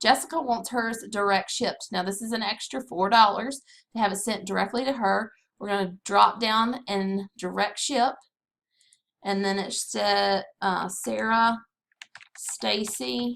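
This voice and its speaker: In a Southern US accent, a woman speaks at a fairly slow pace. Her pitch varies in an ordinary way. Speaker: direct sales consultant. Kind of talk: screen-recorded tutorial.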